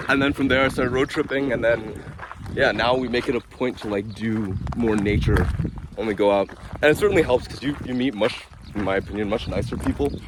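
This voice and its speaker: A man talks at a fairly quick pace and medium pitch with ordinary pitch variation. There is noticeable background noise. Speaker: travel vlogger. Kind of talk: casual chat. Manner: loud.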